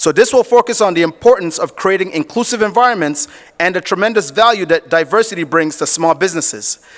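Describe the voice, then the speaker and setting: Loud and very fast, a man talks at a high pitch with lively intonation in a dry, close sound with no echo. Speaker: event emcee. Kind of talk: event hosting, introducing panel. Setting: stage at business summit with audience.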